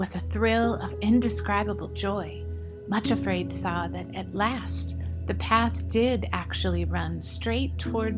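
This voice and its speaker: A woman's very deep, low voice, flat and monotone, at a fairly slow pace over music in the background. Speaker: audiobook narrator. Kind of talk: audiobook narration of a story.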